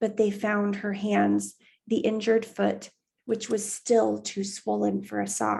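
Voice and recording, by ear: The background is quiet while the passage is read aloud in a natural voice.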